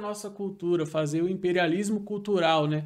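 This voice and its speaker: A man talks at a moderate pace. The background is quiet, and his pitch variation is ordinary. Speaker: missionary and co-host. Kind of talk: podcast interview. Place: studio. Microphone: studio mic.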